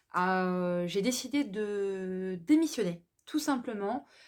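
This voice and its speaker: Very clean, the recording has a silent background. The talking proceeds very slowly. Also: woman. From France, Alsace. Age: 30s. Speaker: self-employed vlogger presenting her business. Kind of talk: personal introduction monologue. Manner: hesitant, many fillers.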